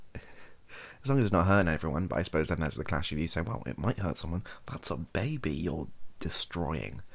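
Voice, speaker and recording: This man has a very deep, low pitch and some vocal fry. He talks at a fairly quick pace with lively intonation. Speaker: streamer or podcaster. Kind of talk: casual opinion chat. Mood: thoughtful, hedging. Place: home room.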